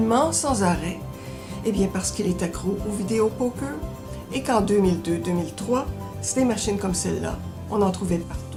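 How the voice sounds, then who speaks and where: A woman speaks at a fairly quick pace, broken by long, frequent pauses. Music plays in the background. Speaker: library book reviewer. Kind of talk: book recommendation segment to camera.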